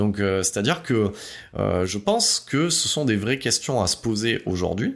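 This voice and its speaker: A man speaks at a medium pitch and a moderate pace. The recording is very clean, with a silent background. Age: 40s. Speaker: podcast host. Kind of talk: solo monologue podcast. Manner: halting.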